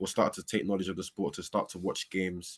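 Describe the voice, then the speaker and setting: Someone with an English accent talks at a very fast pace, recorded with a dry, close sound and no echo. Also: man. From London, England. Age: young. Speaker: American football player. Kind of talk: interview. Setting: walking outdoors.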